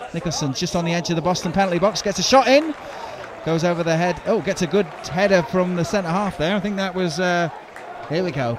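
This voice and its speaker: A man's animated, high-pitched voice at a very fast pace, with ordinary pitch variation, a dry sound with no echo, and noticeable background noise. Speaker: football commentator. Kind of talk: live football commentary. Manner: fast, animated play-by-play, rising excitement at chances.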